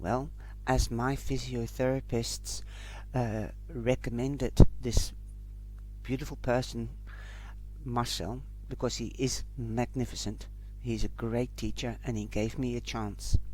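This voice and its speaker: A man speaks with long, frequent pauses. Audible room echo surrounds his voice. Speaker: life coach and podcaster. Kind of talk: personal testimony podcast. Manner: halting with self-corrections.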